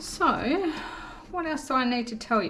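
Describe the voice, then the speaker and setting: A woman speaks very slowly in a high voice, with audible room echo and music playing in the background. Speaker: acrylic pouring hobby artist and tutorial maker. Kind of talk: tutorial. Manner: casual, with many fillers.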